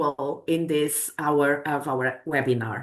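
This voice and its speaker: A woman with a Portuguese accent, speaking at a fairly slow pace against a quiet background. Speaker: academic researcher presenting a project. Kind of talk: webinar presentation. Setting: online webinar. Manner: hesitant, with self-corrections.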